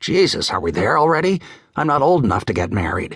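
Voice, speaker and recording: This is a put-on character voice delivered at a very fast pace. The pitch swings very widely. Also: man, fairly high pitch for a man. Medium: read story. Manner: flippant, cocky.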